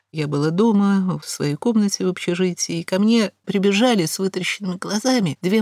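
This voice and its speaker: A woman at a medium pitch talks at a moderate pace, the sound dry and close with no echo. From Moscow, Russia. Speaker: historian lecturer. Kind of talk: lecture. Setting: studio.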